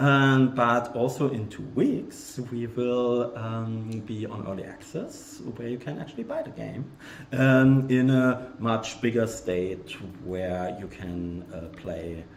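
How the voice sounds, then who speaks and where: Speaking very slowly in a German accent, a man of medium pitch shows ordinary pitch variation and big swings in loudness, with audible room echo around him. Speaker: game developer. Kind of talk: live game stream. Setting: video livestream. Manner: hesitant, many fillers.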